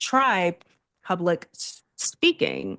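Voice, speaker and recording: A woman speaks at a medium pitch. The sound is dry and close with no echo, over a quiet background. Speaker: empathy and communication expert. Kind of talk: podcast interview. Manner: halting with many fillers.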